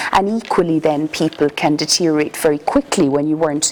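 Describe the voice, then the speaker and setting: A woman speaks at a very deep, low pitch. Noticeable background noise runs behind her. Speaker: palliative care consultant. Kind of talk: lecture. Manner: soft-spoken.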